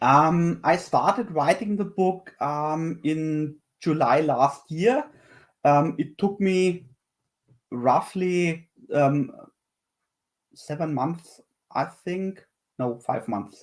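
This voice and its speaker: A man with a German accent speaks at a very slow pace in a fairly high voice, using ordinary pitch variation and long, frequent pauses. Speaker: software developer and tech book author. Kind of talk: panel discussion. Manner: halting, many fillers and repetitions.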